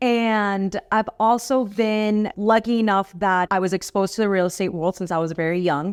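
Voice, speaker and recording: In a very clean recording with a silent background and a dry, close sound with no echo, a woman with a Miami accent speaks at a moderate pace and medium pitch with fairly even intonation. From Miami, Florida (born in Cali, Colombia). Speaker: real estate professional. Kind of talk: podcast interview.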